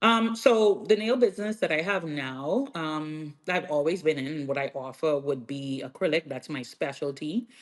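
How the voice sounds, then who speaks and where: A woman with a strong Bahamian accent speaks in a very deep, low voice with lively intonation and hardly any pauses. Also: moderate pace, quiet background. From Bahamas, Freeport, Grand Bahama. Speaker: nail artist and educator. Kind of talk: podcast interview.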